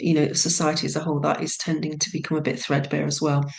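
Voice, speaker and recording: Very fast and very deep in pitch, a woman's voice carries audible room echo. Noticeable background noise runs underneath. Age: 60s. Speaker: business analyst retraining as hypnotherapist. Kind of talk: casual interview. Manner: hesitant, many fillers.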